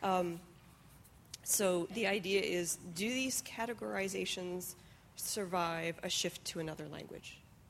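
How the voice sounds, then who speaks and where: A normal speaking voice from a woman, medium in pitch, at a fairly slow pace with ordinary pitch variation. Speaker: question moderator. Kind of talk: audience Q&A. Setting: stage with audience.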